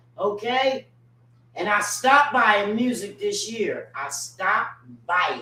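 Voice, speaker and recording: Over noticeable background noise, a woman speaks at a very slow pace in a fairly high pitch, her intonation lively and her loudness swinging widely. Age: 60s. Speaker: radio host. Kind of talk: casual chat. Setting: at a home.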